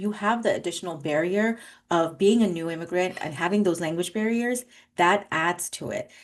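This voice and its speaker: A woman's unremarkable speaking voice with an American accent, fairly quick in pace with ordinary pitch variation, over a quiet background. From New York City, raised by Bangladeshi family. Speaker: attorney and judicial candidate. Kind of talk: interview.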